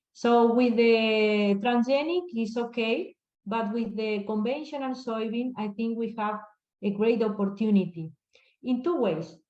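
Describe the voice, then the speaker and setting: A woman with an Argentine accent, fairly high-pitched and fairly slow. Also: ordinary pitch variation. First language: Spanish. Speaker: crop scientist. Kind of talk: Q&A answer. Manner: halting.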